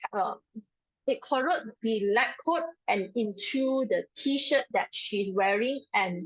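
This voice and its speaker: A woman speaking at a very slow pace. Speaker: safety trainer. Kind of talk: online training lecture. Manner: speaking louder than usual.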